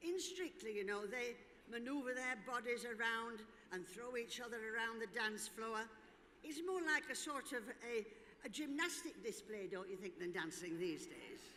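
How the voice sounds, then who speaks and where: Her pitch fairly high, a woman speaks with very wide pitch swings. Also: moderate pace. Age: 80s+. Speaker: former dancer and event speaker. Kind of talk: speech to audience. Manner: animated.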